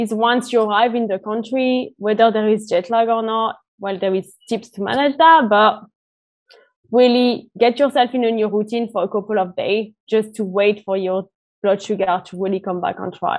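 A woman with a French accent and a fairly high pitch speaks at a moderate pace with ordinary pitch variation. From France. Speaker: diabetes travel organization founder. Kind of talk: interview.

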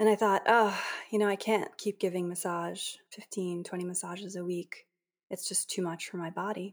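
Monotone and flat in intonation, a woman speaks at medium pitch and a moderate pace with an American accent. The recording is very clean, with a silent background. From Boston area. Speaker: Ayurvedic practitioner and yoga teacher. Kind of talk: interview.

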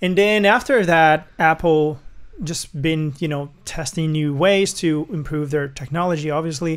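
A man with a non-native accent talks at a fairly slow pace and fairly high pitch, with ordinary pitch variation. The recording is very clean, with a silent background. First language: not English. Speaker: music producer. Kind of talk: casual chat.

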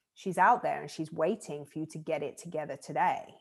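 In a southern English accent, a woman talks at a moderate pace. Her pitch is fairly low. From southern England. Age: 30s. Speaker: life coach. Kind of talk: casual interview. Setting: video call.

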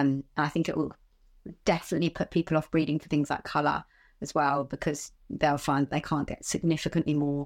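In a southern English accent, a woman speaks fairly quickly in a very deep, low pitch and monotone, flat intonation, on a very clean recording with a silent background. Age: 30s. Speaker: animal trainer. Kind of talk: interview.

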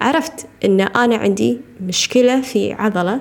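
A woman's fairly high, lively voice amid noticeable background noise. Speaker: podcast host, nutrition coach. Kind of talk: casual monologue.

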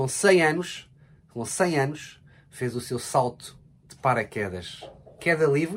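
A man with a European Portuguese accent and ordinary pitch variation. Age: 40s. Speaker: podcast co-host with his partner. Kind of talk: casual chat.

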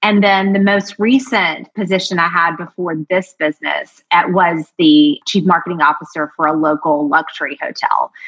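In a normal speaking voice, someone talks at a moderate pace with an American accent. There are hardly any pauses. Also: woman, fairly low pitch for a woman, ordinary pitch variation. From US South, Georgia. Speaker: marketing strategist. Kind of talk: casual interview chat.

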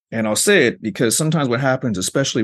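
Here is an unremarkable speaking voice with ordinary pitch variation. It moves at a fairly quick pace. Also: man. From Arizona, US. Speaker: professor. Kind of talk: interview.

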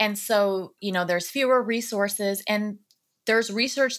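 A woman speaks at a moderate pace with ordinary pitch variation and a bright, sharp tone. The recording is very clean, with a silent background. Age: 40s. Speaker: author and recovery advocate. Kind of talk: interview conversation.

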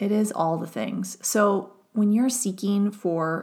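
On a very clean recording with a silent background, a woman speaks with an American accent at a medium pitch. She is somewhat breathy, and her intonation is fairly even. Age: 40s. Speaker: psychologist turned wellness mentor. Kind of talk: solo podcast monologue.

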